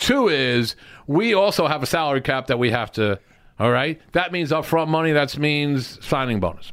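With a New Jersey accent, a man talks at a moderate pace and a fairly high pitch. His intonation is lively while his loudness stays very even. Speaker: sports agent. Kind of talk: casual chat.

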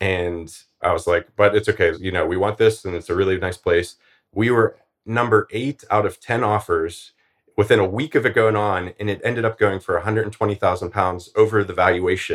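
A man with an American accent has a plain, everyday voice, fairly low in pitch. He talks at a fairly quick pace with fairly even intonation on a very clean recording with a silent background. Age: 40s. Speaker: early retiree and finance blogger. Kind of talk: interview.

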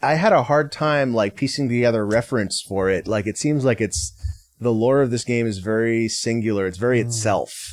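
A man with an ordinary speaking voice, a medium pitch and ordinary pitch variation, in a very clean recording with a silent background. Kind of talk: casual chat.

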